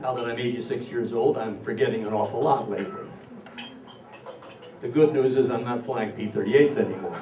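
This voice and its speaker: At a moderate pace and medium pitch, a man with an American accent speaks with ordinary pitch variation amid audible room echo and noticeable background noise. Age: 80s+. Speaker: war veteran. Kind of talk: speech to an audience. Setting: stage with audience.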